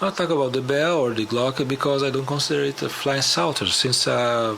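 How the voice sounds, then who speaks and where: Over noticeable background noise, a man with a non-native accent speaks at a fairly quick pace. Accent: non-native English speaker. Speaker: musician and conspiracy show host. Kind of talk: documentary narration.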